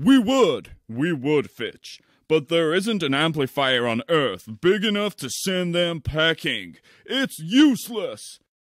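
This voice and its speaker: This man speaks in a high pitch at a fairly slow pace. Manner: dry, impatient.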